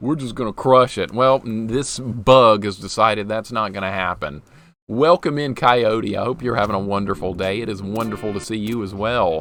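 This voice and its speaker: With music in the background, a man with an American accent talks at a moderate pace in a fairly low pitch with ordinary pitch variation. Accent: Southern accent, strength disputed. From US South (western Alabama). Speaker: game streamer. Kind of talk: live gameplay commentary. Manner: animated.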